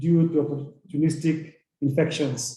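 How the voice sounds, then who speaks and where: There is audible echo from the room as a man talks with a fairly high pitch. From Kenya. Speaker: university representative. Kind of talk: panel presentation.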